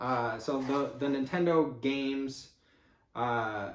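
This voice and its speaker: In a Chicago accent, a man is speaking. Room echo is audible. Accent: Midwestern (Chicago area). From Chicago area exurb, Midwest US. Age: 50s. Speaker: YouTuber, eBay reseller. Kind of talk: unboxing video, casual talk to camera. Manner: casual, many fillers (uh, um).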